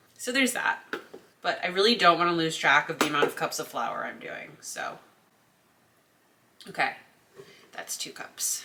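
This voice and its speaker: Amid noticeable background noise, a woman of medium pitch talks at a moderate pace, with very wide pitch swings, big swings in loudness and long, frequent pauses. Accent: American. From Connecticut, US. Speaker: cooking vlogger. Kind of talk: casual cooking tutorial. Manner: chatty, talkative.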